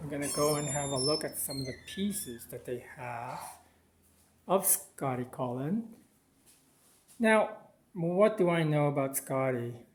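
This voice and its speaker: With a Filipino accent, a man talks at a fairly high pitch and a fairly slow pace. His intonation is lively, and he takes long, frequent pauses. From Philippines. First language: Tagalog. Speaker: art video blogger. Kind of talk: gallery walkthrough vlog. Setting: outside and inside an art gallery.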